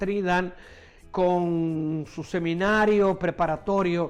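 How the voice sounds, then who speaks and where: With music in the background, a man speaks in a high pitch and fairly even intonation. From Puerto Rico, Coamo. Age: 70s. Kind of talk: autobiographical testimony.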